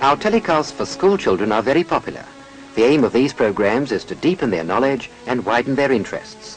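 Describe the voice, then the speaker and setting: With music playing behind him, a man at a medium pitch talks at a fairly quick pace, his pitch swinging very widely. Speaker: newsreel presenter. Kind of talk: newsreel narration.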